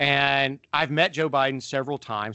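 Using ordinary pitch variation, a man with a normal speaking voice talks at a moderate pace. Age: 40s. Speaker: podcast co-host, pastor and father. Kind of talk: casual chat.

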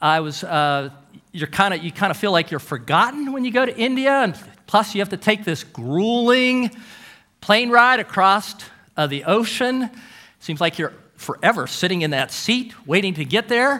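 At a moderate pace, a man projects a raised, high-pitched voice with a bright, sharp tone and very wide pitch swings. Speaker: guest preacher. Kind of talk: sermon.

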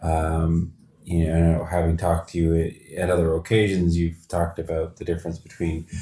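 A man with a Canadian accent speaks at a moderate pace in a very deep, low pitch, his somewhat breathy voice dark and mellow in tone. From London, Ontario. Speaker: podcast host. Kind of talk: interview. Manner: halting, many fillers.

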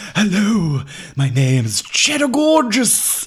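Light background noise sits behind a put-on character voice at a middle pitch, delivered at a fairly slow pace with very wide pitch swings. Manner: mocking, exaggerated.

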